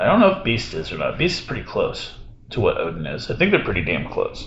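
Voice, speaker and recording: A man speaks with audible room echo. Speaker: gaming streamer. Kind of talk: casual chat. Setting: hotel room, live with Discord. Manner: loud.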